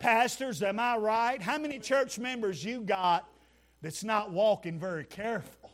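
This man speaks in a Southern US accent at a moderate pace, his pitch high with ordinary variation. His tone is animated. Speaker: preacher. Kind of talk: fiery revival sermon, call-and-response with the congregation. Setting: church. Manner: animated, exhorting, punchy, rhetorical repetition; folksy, humorous, emotional.

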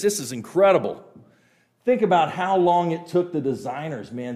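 High-pitched male voice with an American accent, animated and lively in intonation, with audible room echo. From Western Kansas (Healy). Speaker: creation science speaker / evangelist. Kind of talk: church talk / apologetics lecture. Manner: fast.

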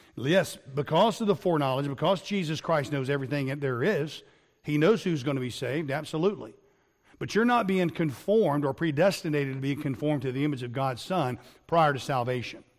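With an ordinary speaking voice, a man speaks at a fairly quick pace, his fairly high pitch carried by lively intonation. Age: 50s. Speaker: pastor. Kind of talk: sermon. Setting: recorded online lesson.

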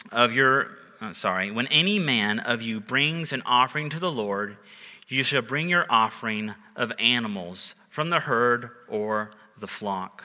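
Lively in intonation and bright, sharp in tone, a man speaks at a fairly slow pace. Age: 30s. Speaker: pastor. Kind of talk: sermon.

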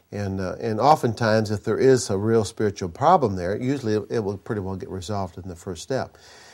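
This man talks at a fairly quick pace with an American accent and a plain, everyday voice. His pitch is fairly low, with ordinary variation. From US Midwest, Minnesota. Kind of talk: sermon. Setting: conference stage with audience.

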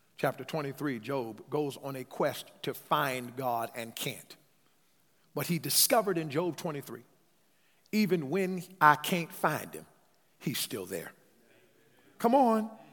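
The voice moves at a fairly slow pace with long, frequent pauses and an animated tone. Its pitch swings very widely, and its loudness swings a lot. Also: man. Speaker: preacher. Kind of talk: sermon. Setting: church. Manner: animated, call-and-response preaching, urging the congregation to say amen; emphatic and conversational, with repeated words.

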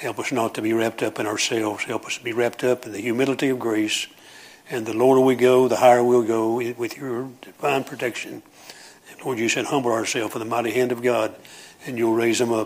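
Against noticeable background noise, a man with a Southern US accent talks at a fairly quick pace in a medium pitch, his intonation monotone and flat. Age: 70s. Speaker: preacher. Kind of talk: sermon. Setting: church.

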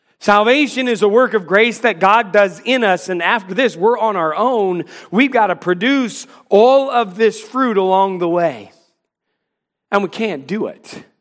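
A man with an American accent speaks in a high pitch with ordinary pitch variation. His pace is fairly slow. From North Carolina. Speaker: pastor. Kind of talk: sermon. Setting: church.

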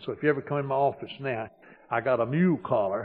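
A man at medium pitch with very wide pitch swings. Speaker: pastor. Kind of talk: sermon. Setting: church.

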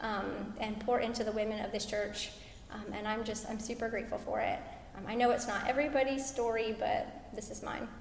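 Over music in the background, a woman speaks at a moderate pace with a fairly high pitch. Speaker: conference speaker, military wife and mother. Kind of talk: church panel discussion. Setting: church stage with audience.

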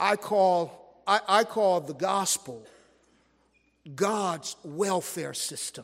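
A man with an American accent speaks at a very slow pace in a high voice, leaving long, frequent pauses. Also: ordinary pitch variation. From US West Coast, South Central Los Angeles. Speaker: pastor. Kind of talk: sermon. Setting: church. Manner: halting, with frequent restarts.

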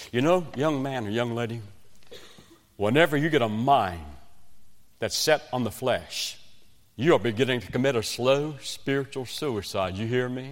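Speaking with a West Virginian accent, a man uses a medium pitch and ordinary pitch variation. He keeps a moderate pace with long, frequent pauses. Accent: Southern US, West Virginian. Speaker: evangelist preacher. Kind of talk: sermon.

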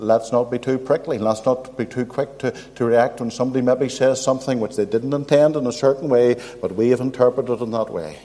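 A man with a Northern Irish accent talks at a fairly quick pace and medium pitch, with fairly even intonation and hardly any pauses, over noticeable background noise. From Northern Ireland, County Armagh. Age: old. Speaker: visiting preacher. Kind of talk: sermon. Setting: church.

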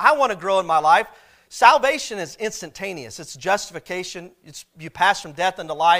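A man with an American accent, high-pitched, with a bright, sharp tone, lively intonation and a moderate pace. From US Midwest, southwest Missouri. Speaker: pastor. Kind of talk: sermon. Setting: church.

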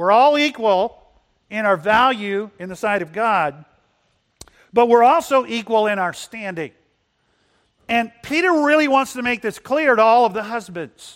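Speaking at a fairly slow pace with long, frequent pauses, a man with a high pitch and lively intonation comes through in a very clean recording with a silent background. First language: bilingual English and Spanish. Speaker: pastor. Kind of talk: sermon. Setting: church.

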